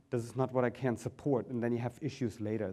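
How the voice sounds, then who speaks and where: A man with a German accent, a dark, mellow tone and fairly even intonation. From Germany. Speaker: business consultant, company founder. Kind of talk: conference presentation.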